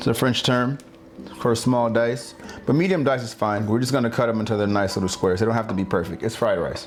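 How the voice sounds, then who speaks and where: A man with an American accent at a very fast pace, medium pitch and ordinary pitch variation, music in the background. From California. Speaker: home cooking video host. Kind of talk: cooking tutorial. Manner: animated, playful.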